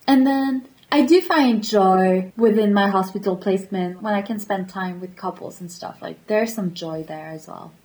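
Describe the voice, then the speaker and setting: Somewhat breathy, a woman at medium pitch keeps a moderate pace with hardly any pauses. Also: ordinary pitch variation, big swings in loudness. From France, Paris area. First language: French. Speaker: guest. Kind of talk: casual chat.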